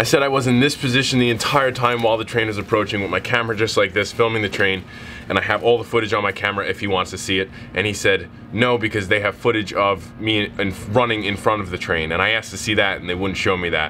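A very fast pace and fairly even intonation over light background noise. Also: man. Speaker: vlogger. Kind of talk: casual vlog chat. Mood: frustrated, incredulous storytelling. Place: station.

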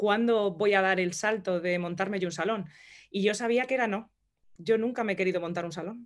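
A woman with an unremarkable speaking voice talks at a fairly quick pace and medium pitch, with fairly even intonation over a quiet background. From Madrid, Spain; Spain. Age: 30s. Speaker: entrepreneur and hairdresser; interview guest. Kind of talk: interview. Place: home room. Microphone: video call.

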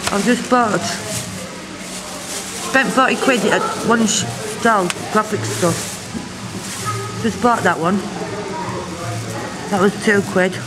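A woman's speech with long, frequent pauses and clear music in the background. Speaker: vlogger. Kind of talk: casual vlog chat. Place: cafe. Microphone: phone near.

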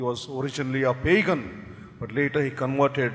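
A man speaks at a moderate pace. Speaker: priest celebrating Mass. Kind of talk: liturgical introduction, homily-like. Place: church. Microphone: podium.

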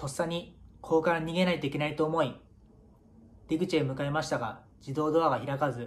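This man talks at a fairly quick pace with fairly even intonation. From Japan, Miyagi (Iwanuma); Japan. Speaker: professional footballer. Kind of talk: prepared video message. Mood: earnest, solemn remembrance. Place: home room. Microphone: phone near.

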